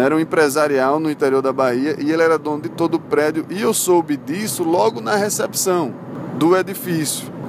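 There is noticeable background noise as a man speaks at a moderate pace. His fairly high pitch shows ordinary variation. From Brazil, Recife (Pernambuco). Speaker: lawyer and podcast host. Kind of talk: solo storytelling podcast. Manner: casual, conversational.

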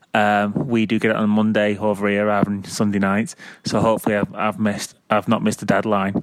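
This voice has a Mancunian accent and a fairly quick pace. Its intonation stays monotone and flat. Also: man, fairly low pitch for a man, very even loudness. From Manchester, England. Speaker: caller. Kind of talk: voicemail. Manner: halting, many fillers.

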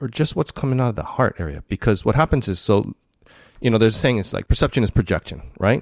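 A man's fairly low voice, with ordinary pitch variation and vocal fry, is recorded with a dry, close sound and no echo. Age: 50s. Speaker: podcast host. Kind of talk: casual interview conversation.

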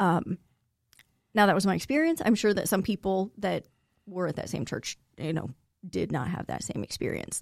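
Using lively intonation and vocal fry, a woman at a medium pitch speaks at a moderate pace with long, frequent pauses in a dry, close sound with no echo. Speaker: guest sharing life story. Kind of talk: interview, personal testimony.

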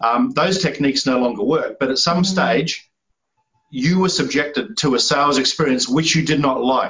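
A man with a New Zealand accent talks at a moderate pace in a fairly high pitch, his loudness very even and his pitch variation ordinary. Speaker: sales strategist. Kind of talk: interview.

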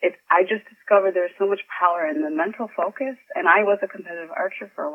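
A woman with an American accent speaks very fast at medium pitch, her intonation lively. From Chicago, US Midwest. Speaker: author. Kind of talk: interview.

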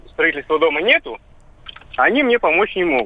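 A man's voice over noticeable background noise. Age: 30s. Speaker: radio caller. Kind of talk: call-in question.

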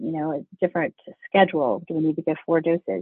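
A man talks at a fast pace in a fairly high voice with a slightly husky edge. The sound is dry and close, with no echo.

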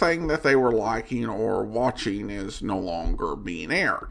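This man talks at a moderate pace with an American accent and very wide pitch swings. Noticeable background noise runs behind him. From Boise, Idaho, US. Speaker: old-time radio podcast host. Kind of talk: casual podcast host intro and outro, conversational commentary.

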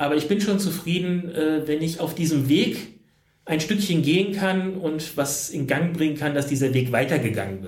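There is audible room echo around this man's voice. He speaks at a fairly high pitch and a moderate pace. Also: ordinary pitch variation. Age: 40s. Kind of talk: interview. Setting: hotel room.

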